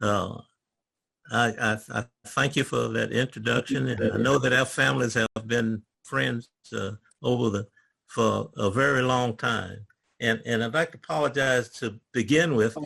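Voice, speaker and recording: A man with a Virginia accent and vocal fry, bright and sharp in tone, with ordinary pitch variation and long, frequent pauses. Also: medium pitch for a man, moderate pace. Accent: rural Virginia Southern. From US South, rural Virginia. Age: 80s+. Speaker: retired government worker. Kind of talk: oral history talk. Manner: stammering; halting.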